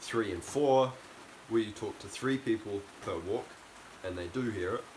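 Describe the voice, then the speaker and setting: Noticeable background noise accompanies a man whose voice is fairly low in pitch. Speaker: self-improvement youtuber. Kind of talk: motivational talk to camera. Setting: outdoors in the rain. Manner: loud.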